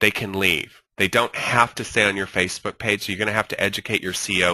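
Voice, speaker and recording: A man speaks at a very fast pace with a fairly low pitch. His tone is bright and sharp, and the sound is dry and close with no echo. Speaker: social media marketing instructor. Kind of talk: webinar lecture. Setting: online webinar with screen share. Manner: animated.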